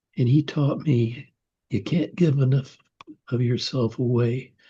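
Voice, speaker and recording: A man speaks at a moderate pace in a medium pitch. His voice is somewhat breathy with a dark, mellow tone and fairly even intonation. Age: 80s+. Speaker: author and attorney. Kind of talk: interview.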